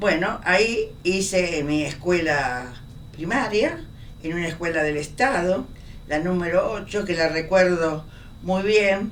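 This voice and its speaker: Amid noticeable background noise and audible room echo, a woman with a fairly low pitch speaks at a very slow pace with ordinary pitch variation. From Argentina, Buenos Aires. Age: 90s. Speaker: professor. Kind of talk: oral history interview.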